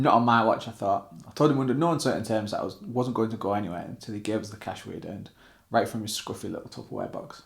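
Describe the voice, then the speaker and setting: Speaking very fast with a northern English accent, a man holds a medium pitch. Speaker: author and former band drummer. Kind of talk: memoir excerpt reading.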